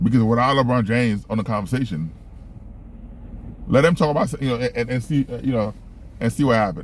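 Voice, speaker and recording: A mumbling man at a medium pitch, very fast in delivery, with long, frequent pauses. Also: ordinary pitch variation. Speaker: sports talk vlogger. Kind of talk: casual monologue. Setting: in a car. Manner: stutters and mumbles; many filler words.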